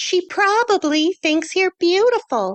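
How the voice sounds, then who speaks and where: In a put-on character voice, a woman squeaks at an extremely high pitch, speaking at a fairly slow pace with ordinary pitch variation. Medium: read story. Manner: breezy, teasing.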